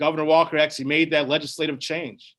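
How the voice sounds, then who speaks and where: This man has an American accent and a fairly high-pitched voice. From Wisconsin. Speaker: firefighters union president. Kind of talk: town hall answer. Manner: casual, conversational.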